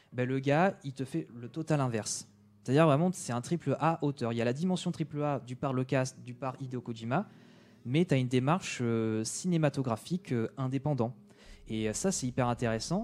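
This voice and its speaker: Having an unremarkable speaking voice, a man keeps a medium pitch with ordinary pitch variation. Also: moderate pace. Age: 20s. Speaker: video game enthusiast guest. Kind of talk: casual chat.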